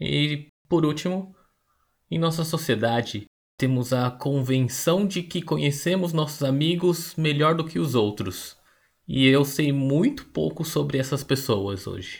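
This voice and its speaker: Somewhat breathy, a man speaks at a fairly slow pace in a fairly high pitch with ordinary pitch variation. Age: 30s. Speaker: podcast host. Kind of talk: scripted narration.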